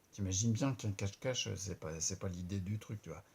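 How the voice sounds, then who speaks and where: Somewhat breathy and dark, mellow in tone, a man's voice moves at a moderate pace with ordinary pitch variation. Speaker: vlogger with multiple sclerosis. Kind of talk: video diary. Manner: halting, stumbling over words; casual.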